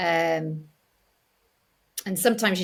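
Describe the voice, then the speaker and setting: A woman with a northern English accent, fairly low pitch and a very slow pace, on a very clean recording with a silent background. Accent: soft northern English. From North Yorkshire, northern England. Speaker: actress. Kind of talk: interview conversation. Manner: hesitant, many fillers.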